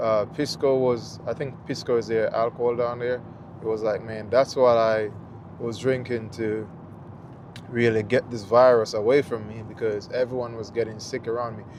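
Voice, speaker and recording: At a moderate pace, a man with a Jamaican accent speaks at medium pitch in a monotone, flat intonation. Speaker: travel vlogger. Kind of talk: casual chat. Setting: live stream. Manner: casual, hesitant with fillers.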